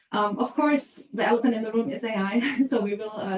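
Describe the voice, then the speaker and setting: A woman with a German accent talks at a moderate pace, fairly high in pitch with ordinary pitch variation. Background noise is noticeable. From Germany. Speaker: HR consultant. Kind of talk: webinar presentation. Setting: online webinar.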